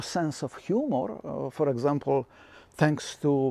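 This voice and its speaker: A man with a fairly high pitch and a non-native accent. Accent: foreign. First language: not English. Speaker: filmmaker and video commentator. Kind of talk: satirical monologue. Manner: halting, many fillers.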